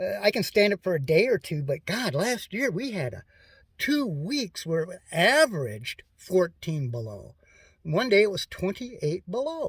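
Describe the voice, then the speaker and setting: With a Minnesota accent, a man speaks at a moderate pace in a high pitch that swings very widely. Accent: Upper Midwest (Minnesota). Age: 60s. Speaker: DIY vehicle repair vlogger. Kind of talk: casual how-to vlog. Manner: halting, many fillers and repeats.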